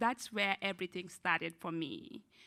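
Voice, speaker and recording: A woman with a non-native accent speaks in a bright, sharp tone at a fairly low pitch, with vocal fry and ordinary pitch variation, in a very clean recording with a silent background. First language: not English. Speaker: student parent panelist. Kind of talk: panel discussion.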